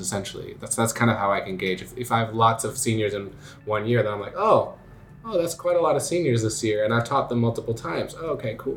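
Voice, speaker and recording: A mid-pitched man speaks very rapidly as background noise is clearly heard. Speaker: school musical director. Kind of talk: interview. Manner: casual, hesitant with fillers.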